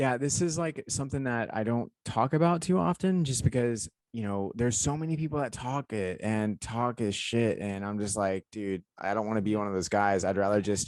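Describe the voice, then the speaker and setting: A man with an American accent speaks in a normal speaking voice at a moderate pace, his pitch medium and his intonation lively. He barely pauses, and the sound is dry and close with no echo against a quiet background. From US South. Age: 30s. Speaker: podcast co-host and aspiring stuntman. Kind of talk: casual chat. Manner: rambling, filler-heavy.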